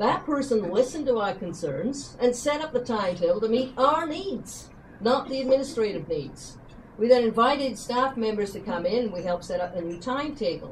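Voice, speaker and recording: Her fairly high voice makes very wide pitch swings as this woman talks over light background noise. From western Canada. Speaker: retiring teacher. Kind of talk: retirement speech. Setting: dinner event with audience. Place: hall. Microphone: camera far.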